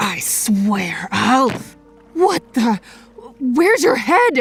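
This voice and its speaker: Over faint music in the background, a female-sounding voice puts on a character voice, high-pitched and delivered at a very slow pace. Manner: frightened, hostile.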